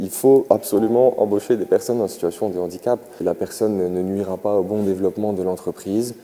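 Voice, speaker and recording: Fairly even in intonation, a man with fairly low pitch speaks at a fairly quick pace. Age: 20s. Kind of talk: interview testimony. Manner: halting, many filler sounds.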